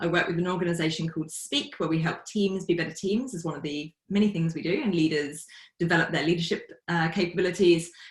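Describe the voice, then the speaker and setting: A very fast, somewhat breathy woman's voice in a British accent, fairly low in pitch with fairly even intonation. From UK. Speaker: facilitator and team coach. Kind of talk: podcast interview.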